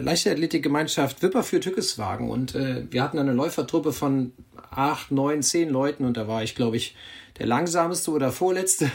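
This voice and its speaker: This man has a plain, everyday voice with a fairly high pitch. He keeps a moderate pace and ordinary pitch variation. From Germany, Bergisches Land. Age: 50s. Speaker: cycling magazine editor. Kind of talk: casual chat. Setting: video call.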